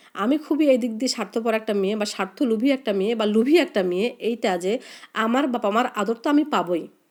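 A woman speaks fast at a fairly high pitch with ordinary pitch variation. The recording is very clean, with a silent background.

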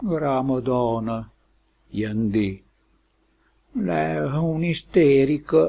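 In a Lombard accent, a dark, mellow voice moves at a very slow pace against a quiet background. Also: man. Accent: Lomellina dialect of Lombardy. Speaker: dialect poet and translator. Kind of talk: poetry reading.

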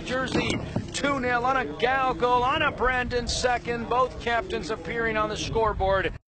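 Extremely high pitch for a man, at a moderate pace, with noticeable background noise. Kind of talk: live sports commentary on a youth soccer match, play-by-play. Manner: laughs and reacts in the moment, conversational and upbeat.

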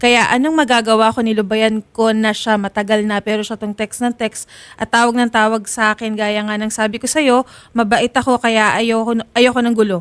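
In a dry, close sound with no echo on a very clean recording with a silent background, a woman with a fairly high pitch speaks at a moderate pace in a monotone, flat intonation. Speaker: co-host reading complaint messages. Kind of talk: complaint mediation show, reading messages aloud.

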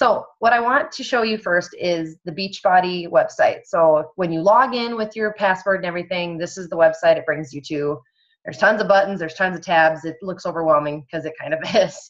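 Against a quiet background, a woman talks at a fairly quick pace, her loudness swinging widely. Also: ordinary pitch variation. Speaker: online fitness coach leading a training call. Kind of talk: tutorial on a group coaching call. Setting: video call with screen sharing. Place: home room. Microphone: video call.

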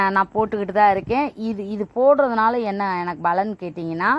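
Here is a woman with an unremarkable speaking voice. Her pitch is medium, and its variation is ordinary. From Tamil Nadu, Manamadurai area. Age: 40s. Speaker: poultry farmer and farming video host. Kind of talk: casual farm tutorial vlog.

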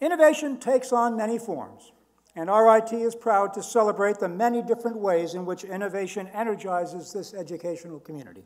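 This man talks at a fairly quick pace with ordinary pitch variation. His pitch is high for a man, and the background is quiet. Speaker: ceremony host or university official. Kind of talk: formal ceremony speech. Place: hall. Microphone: podium.

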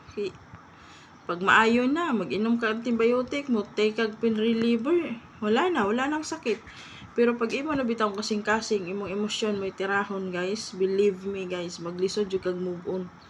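A woman with a fairly high voice speaks at a moderate pace with ordinary pitch variation over noticeable background noise. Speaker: vlogger. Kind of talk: casual commentary vlog. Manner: halting, stumbling over words.

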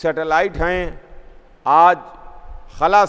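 With a high pitch, a man talks in a monotone, flat intonation. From India, Lucknow; India. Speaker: Shia cleric; speaker. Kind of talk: sermon. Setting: mosque with congregation. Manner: repetitive oratorical cadence. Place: church.

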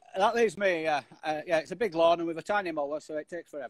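Delivered at a very fast pace with ordinary pitch variation, the speech has a dry sound with no echo and a quiet background. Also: man, high pitch for a man. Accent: Yorkshire. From Yorkshire, England. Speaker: wood turner, interview guest. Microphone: video call.

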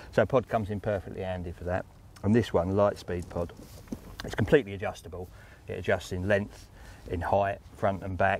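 A man's plain, everyday voice at fairly low pitch and a fairly quick pace, with a dry sound with no echo and light background noise. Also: fairly even intonation. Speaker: guest. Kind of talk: interview answer. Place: waterside.

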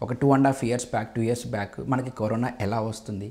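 The man's voice is somewhat breathy, with a dark, mellow tone. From Andhra Pradesh, East Godavari (Mandapeta); Andhra Pradesh, India. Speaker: pharma education company chairman. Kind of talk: interview. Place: home room. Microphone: lapel.

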